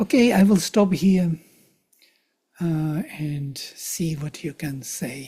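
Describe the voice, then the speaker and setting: A man speaks at a very slow pace with long, frequent pauses and big swings in loudness. His high-pitched voice has a dark, mellow tone and ordinary pitch variation. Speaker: teacher of Vedic texts. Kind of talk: lecture.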